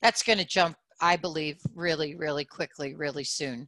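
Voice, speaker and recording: In a New York accent, a woman speaks at a moderate pace with a very deep, low pitch and a bright, sharp tone. The recording is very clean, with a silent background and a dry, close sound with no echo. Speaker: audio branding company CEO. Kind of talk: panel discussion.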